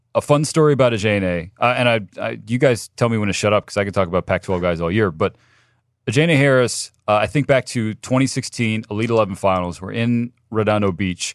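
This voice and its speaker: A man's plain, everyday voice, fairly low in pitch, at a fairly quick pace with ordinary pitch variation, in a dry, close sound with no echo against a quiet background. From Southern California. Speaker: sports analyst. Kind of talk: casual sports chat. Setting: studio.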